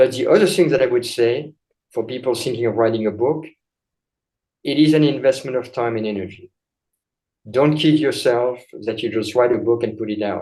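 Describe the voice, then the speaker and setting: Speaking at a fairly quick pace with long, frequent pauses, a man uses a medium pitch and a dark, mellow tone. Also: ordinary pitch variation. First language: not English. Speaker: chiropractor and author. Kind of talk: interview.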